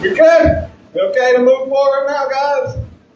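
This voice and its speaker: A man with a Southern US accent speaks at a fairly slow pace amid noticeable background noise and audible room echo. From US South, southern Alabama. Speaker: comedian. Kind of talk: stand-up. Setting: stage with audience.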